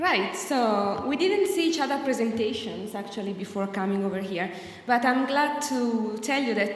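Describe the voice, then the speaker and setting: A woman with an Italian accent, fairly high pitch, ordinary pitch variation and a moderate pace, with noticeable background noise and audible room echo. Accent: Italian, unchanged. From Italy. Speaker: academic researcher. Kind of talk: conference presentation.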